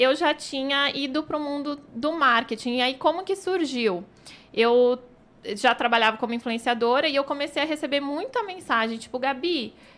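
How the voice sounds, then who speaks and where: A bright, sharp tone with lively intonation at a moderate pace. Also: woman. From Brazil, São Paulo. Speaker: image and marketing consultant. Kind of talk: casual chat.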